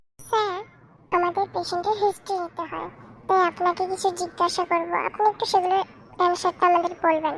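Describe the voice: In a cartoonish character voice, a woman talks at a fairly quick pace with an extremely high pitch and a monotone, flat intonation.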